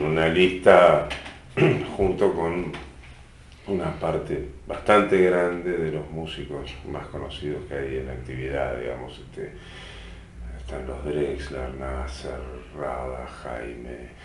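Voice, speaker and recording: A man speaks very slowly in a very deep, low voice with ordinary pitch variation, big swings in loudness and long, frequent pauses. Audible room echo and noticeable background noise fill the recording. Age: 50s. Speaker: musician and cultural venue director. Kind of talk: interview.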